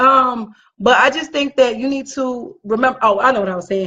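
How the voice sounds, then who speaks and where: A loud, animated woman's voice, high in pitch, at a moderate pace with ordinary pitch variation. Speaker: podcast co-host. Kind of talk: casual chat.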